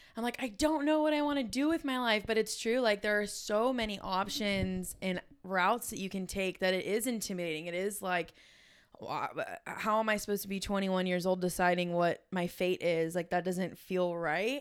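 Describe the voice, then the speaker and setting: On a very clean recording with a silent background, a woman with an American accent speaks at a medium pitch. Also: lively intonation, moderate pace. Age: 20s. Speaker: podcast host. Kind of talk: casual chat.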